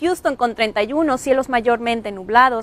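A woman with a high pitch speaks in an upbeat tone at a fairly slow pace. Her pitch variation is ordinary, and the sound is dry with no echo. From Mexico, Nuevo León (Monterrey area). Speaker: TV weather presenter. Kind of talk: morning TV weather report, brisk rundown of city temperatures. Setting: TV studio. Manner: upbeat, friendly newsreader warmth. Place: studio. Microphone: lapel.

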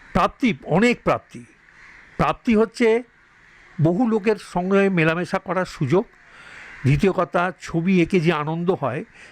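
With a high pitch and ordinary pitch variation, a man is heard in a dry, close recording with no echo. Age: 70s. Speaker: painter and art teacher. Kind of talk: interview. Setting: artist's home studio.

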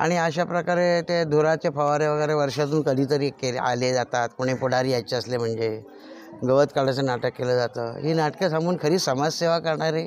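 A man talks at a fairly high pitch. Noticeable background noise runs through the clip. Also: ordinary pitch variation, very even loudness. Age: 60s. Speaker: villager. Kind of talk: complaint to reporter.

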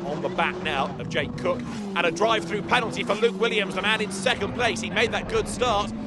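A man with a British accent and a high pitch, at a very fast pace, over noticeable background noise. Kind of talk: race commentary. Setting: broadcast over race footage. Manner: fast, excitable play-by-play, rising with the action; informed and fluent, naming drivers, cars and corners.

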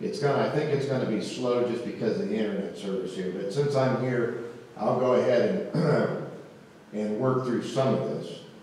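A man talks with lively intonation amid strong room echo. Light background noise sits underneath. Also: moderate pace. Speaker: presenter. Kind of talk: presentation talk. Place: hall. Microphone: camera far.

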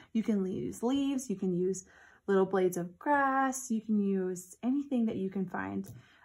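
The pace of this woman's speech is moderate. Behind her it is quiet. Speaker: teacher. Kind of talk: tutorial for children. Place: classroom. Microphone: phone near.

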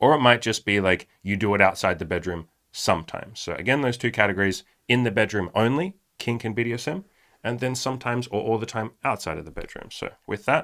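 A man talks with lively intonation at a fairly quick pace. The background is quiet. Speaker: podcast co-host. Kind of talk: podcast discussion intro. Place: studio. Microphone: studio mic.

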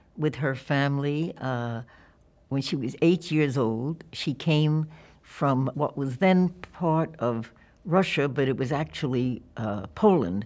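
A woman's very deep, low voice with a New York accent, ordinary pitch variation and a very slow pace. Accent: New York American. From New York (Yonkers and Brooklyn). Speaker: documentary filmmaker; interviewee. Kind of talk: oral history interview. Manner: halting. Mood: warm, reflective. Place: studio.

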